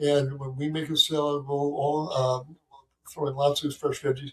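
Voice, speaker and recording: A man with an American accent talks at a moderate pace. His voice is fairly high in pitch and somewhat breathy. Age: 70s. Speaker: physician. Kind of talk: interview. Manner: halting, many fillers.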